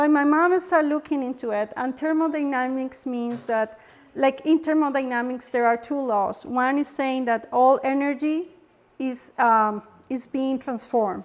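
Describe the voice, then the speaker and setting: This woman's voice sits high in pitch, with ordinary pitch variation. She talks at a moderate pace. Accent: Spanish. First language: Spanish. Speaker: holistic health workshop presenter. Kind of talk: workshop presentation. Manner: halting, with repetitions.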